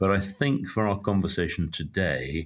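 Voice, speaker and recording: Against a quiet background, a man with a British accent speaks with ordinary pitch variation. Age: old. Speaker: psychologist. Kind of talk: interview. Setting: remote call. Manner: dry.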